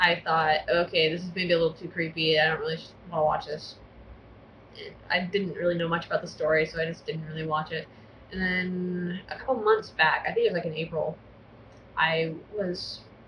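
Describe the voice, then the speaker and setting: Fairly even intonation comes with long, frequent pauses over noticeable background noise. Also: woman, fairly low pitch for a woman. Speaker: vlogger. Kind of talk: casual vlog monologue.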